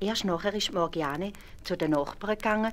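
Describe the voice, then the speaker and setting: A woman at a moderate pace with ordinary pitch variation, in a Swiss accent. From Switzerland. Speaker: storyteller. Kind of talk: fairy tale narration for children.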